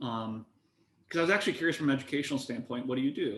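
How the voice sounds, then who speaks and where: A fairly high-pitched man talks with an American accent. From US Midwest, eastern Iowa. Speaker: antitrust researcher. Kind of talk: panel discussion.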